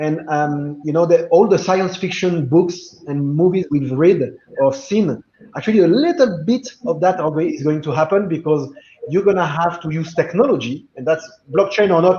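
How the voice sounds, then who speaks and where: A man with a French accent speaks at a high pitch and a moderate pace, with ordinary pitch variation. Noticeable background noise runs underneath. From France. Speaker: blockchain business guest. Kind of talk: video call panel discussion.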